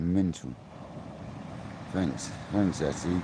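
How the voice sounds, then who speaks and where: Quiet and very deep in pitch, a man with an English accent speaks with ordinary pitch variation amid audible room echo. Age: 40s. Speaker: fishing livestreamer. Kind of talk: live stream chat. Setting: outdoors by a river. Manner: mumbling.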